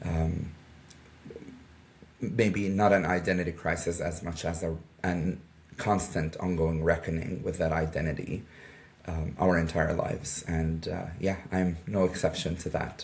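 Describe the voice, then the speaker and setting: A man's very deep, low, monotone voice at a fairly slow pace, with long, frequent pauses and audible room echo. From Jordan. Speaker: media advisor for a nonprofit. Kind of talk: interview. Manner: hesitant with fillers.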